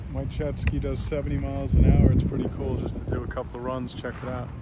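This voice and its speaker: A man talks at a very fast pace with an American accent, with noticeable background noise and audible room echo. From Long Island, New York. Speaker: live streamer. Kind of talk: casual live stream chat.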